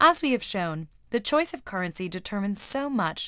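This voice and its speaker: In a very clean recording with a silent background, a woman with an unremarkable speaking voice and an American accent talks at a fairly quick pace and medium pitch with lively intonation. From United States. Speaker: explainer video narrator. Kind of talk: scripted narration. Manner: clear, measured.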